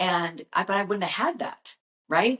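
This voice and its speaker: Here a woman talks with a normal speaking voice at a medium pitch. Her intonation is lively. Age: 60s. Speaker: brand creator and motivational vlogger. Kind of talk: motivational talk to camera. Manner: casual, conversational.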